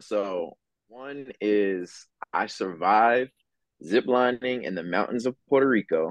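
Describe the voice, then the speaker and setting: A man speaks at a very slow pace with an American accent, his pitch fairly low with ordinary variation. The sound is dry and close, with no echo. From Philadelphia. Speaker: campus missionary. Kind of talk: casual chat.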